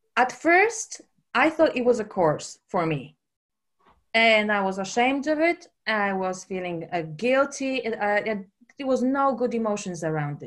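In a very clean recording with a silent background, a woman with a Polish accent speaks at a fairly slow pace and a fairly high pitch, making very wide pitch swings. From Poland. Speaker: personal trainer and holistic coach. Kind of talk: casual interview.

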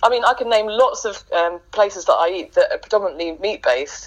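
A woman speaks very rapidly while noticeable noise fills the background. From eastern England, Norwich. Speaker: vegan campaigner. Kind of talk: interview.

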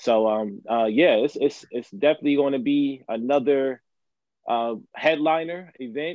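A man talks in an unremarkable speaking voice at a moderate pace. His pitch varies in an ordinary way. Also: fairly high pitch for a man. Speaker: Amazon worker activist. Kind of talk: live stream interview. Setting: live stream, audio only.

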